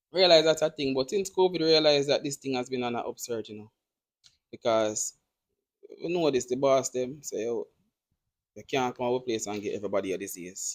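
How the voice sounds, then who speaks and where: In a Jamaican accent, a man speaks at medium pitch and a fairly quick pace, with lively intonation and big swings in loudness. Long, frequent pauses break up his speech, and the sound is dry and close with no echo. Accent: Jamaican English with patois features. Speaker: podcast host. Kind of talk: casual chat.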